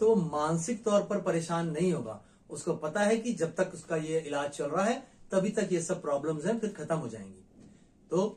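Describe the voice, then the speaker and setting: A man with a high voice speaks at a moderate pace, his intonation lively. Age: 50s. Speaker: nutrition expert. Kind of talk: health education monologue. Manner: smiling while speaking.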